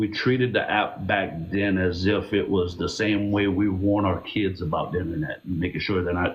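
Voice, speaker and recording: Somewhat breathy and fairly low, a man's voice moves at a moderate pace. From Louisiana Cajun country. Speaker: social media live streamer. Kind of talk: casual interview chat on a live stream. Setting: live stream.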